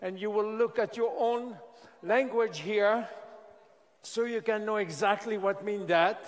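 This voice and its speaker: A man's high voice in a French accent, fairly slow and fairly even in intonation, with long, frequent pauses and noticeable background noise. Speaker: scientist presenting a skincare product. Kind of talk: product presentation to an audience. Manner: halting.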